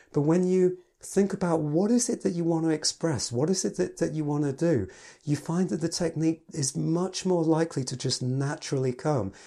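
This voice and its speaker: A man with an English accent speaks at a moderate pace, his voice fairly high in pitch with a dark, mellow tone and ordinary pitch variation. The recording is very clean, with a silent background. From England. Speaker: piano teacher and podcast host. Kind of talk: solo podcast talk.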